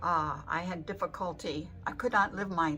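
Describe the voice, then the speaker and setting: Music plays in the background while a woman speaks at a moderate pace with a fairly low pitch and ordinary pitch variation. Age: 80s+. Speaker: patient. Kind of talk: patient testimonial.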